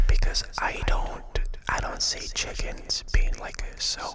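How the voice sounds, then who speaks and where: A whispering voice is heard behind noticeable background noise. The whisper moves very slowly. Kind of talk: ASMR talk to camera, rambling comedic monologue. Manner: casual, humorous, animated.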